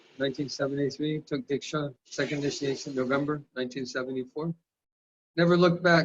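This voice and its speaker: Speaking with an American accent, this man has a fairly high pitch. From California, US. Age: 60s. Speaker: spiritual teacher. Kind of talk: lecture; personal testimony.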